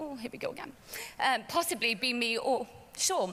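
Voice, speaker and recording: This woman has a high-pitched voice with ordinary pitch variation. She talks at a moderate pace. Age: 30s. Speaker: network marketer, former police officer. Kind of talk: testimony. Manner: halting, many fillers.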